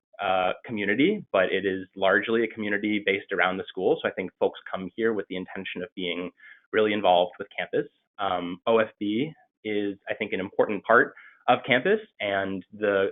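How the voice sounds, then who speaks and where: A man with an unremarkable speaking voice and fairly low pitch talks at a moderate pace. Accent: American. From Maine, US. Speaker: MBA student. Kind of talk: webinar presentation. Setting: video call.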